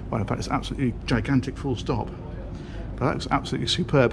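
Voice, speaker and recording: Noticeable background noise runs beneath this man's speech. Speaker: presenter. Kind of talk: walkthrough tour commentary. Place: boat. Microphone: phone near.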